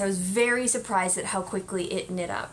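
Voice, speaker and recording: Woman's bright, sharp voice at a moderate pace, with audible room echo. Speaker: knitting podcast host. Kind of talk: casual chat.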